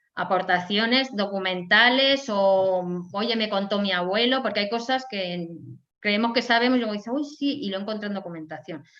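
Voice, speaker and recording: A woman's bright, sharp tone at a medium pitch, moderate pace and ordinary pitch variation, with audible room echo. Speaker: historian and lecturer. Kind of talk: lecture.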